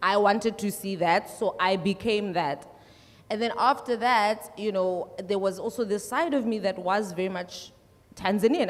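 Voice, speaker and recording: A woman at medium pitch, with ordinary pitch variation, a moderate pace and noticeable background noise. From South Africa, Limpopo. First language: Tsonga. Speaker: musician. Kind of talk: panel discussion.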